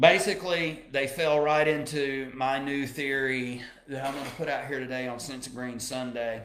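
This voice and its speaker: A man with an American accent and a fairly high pitch, at a moderate pace with hardly any pauses, fairly even intonation, big swings in loudness, and audible room echo. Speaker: radio host. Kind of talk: live radio talk show.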